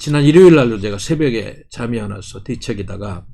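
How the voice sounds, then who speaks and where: A somewhat breathy, dark and mellow voice at a fairly slow pace, with lively intonation and audible room echo. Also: man. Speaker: party policy chief and commentator. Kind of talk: political commentary monologue.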